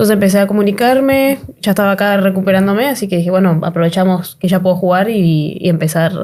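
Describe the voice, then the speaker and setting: A very fast voice in an Argentine accent, dark and mellow in tone, with ordinary pitch variation and very even loudness. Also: woman. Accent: Argentine Spanish accent, noticeable. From Argentina. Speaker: basketball player. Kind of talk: interview answers.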